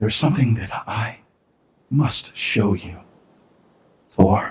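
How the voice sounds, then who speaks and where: In a put-on character voice, a man speaks in a whisper. He goes at a fairly slow pace. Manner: whispering.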